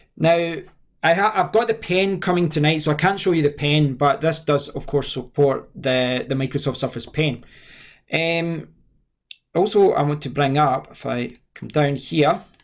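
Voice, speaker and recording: Speaking with a Scottish accent, a man talks at a fairly slow pace. His voice is fairly high, with ordinary pitch variation. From Scotland. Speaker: tech reviewer. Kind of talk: tutorial. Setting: screen recording with webcam. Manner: halting.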